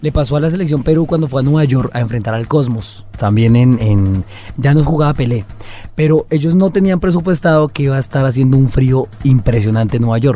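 The voice has a dark, mellow tone, is somewhat breathy, and moves at a fairly quick pace. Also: man, medium pitch for a man, lively intonation. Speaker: podcast co-host. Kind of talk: casual chat.

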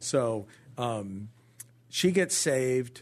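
This man speaks with a Southern California accent and very wide pitch swings. His voice is somewhat breathy. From Orange County, California. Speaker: pastor. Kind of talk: testimony. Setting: studio.

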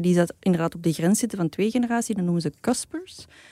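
This woman's medium-pitched voice has a dark, mellow tone and lively intonation. The recording is very clean and dry, close with no echo and a silent background. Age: 40s. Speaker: podcast co-host. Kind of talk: casual chat.

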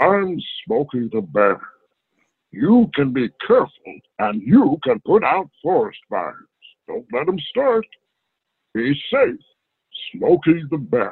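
Putting on a booming character voice, a man speaks at a fairly slow pace and fairly high pitch, with very wide pitch swings and long, frequent pauses. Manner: earnest, public service.

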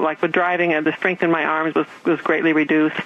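Noticeable background noise sits behind a woman whose voice is fairly low. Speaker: patient. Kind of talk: testimony. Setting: phone call.

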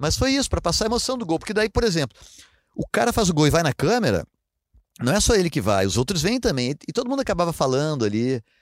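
A man talks at a very fast pace with a high pitch. His pitch swings very widely, and the sound is dry and close with no echo. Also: very clean recording, silent background. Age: 50s. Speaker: TV sports reporter and amateur runner. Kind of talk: casual interview.

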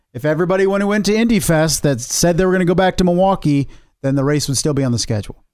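Very fast and with lively intonation, a man speaks at a high pitch with very even loudness. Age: 40s. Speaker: motorsport podcast co-host. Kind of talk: casual chat.

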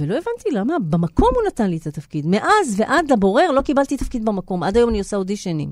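A woman speaks at a fairly quick pace with hardly any pauses. Her fairly high voice swings very widely in pitch. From Israel. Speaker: actress and theatre writer. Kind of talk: interview. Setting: studio.

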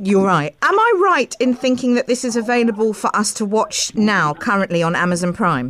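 Over noticeable background noise, a woman talks at a moderate pace with lively intonation, very even loudness and hardly any pauses. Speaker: radio host. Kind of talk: radio interview. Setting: studio.

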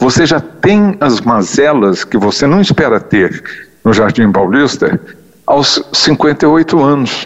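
Very wide pitch swings from a man, with noticeable background noise behind him. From Brazil, São Paulo. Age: 70s. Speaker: physician and gerontologist. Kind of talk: interview.

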